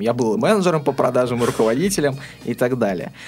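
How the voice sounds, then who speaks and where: A man speaks at a medium pitch, his voice swinging very widely up and down. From Astrakhan, southern Russia. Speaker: web development and promotion specialist. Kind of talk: interview. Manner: hesitant, frequent filler sounds.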